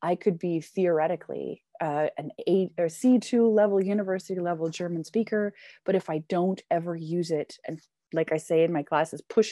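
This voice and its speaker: In a Canadian accent, a woman speaks at a fairly low pitch and moderate pace with a dark, mellow tone and fairly even intonation, the sound dry and close with no echo over a quiet background. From Canada. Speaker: English teacher. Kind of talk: casual interview chat. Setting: living in Germany.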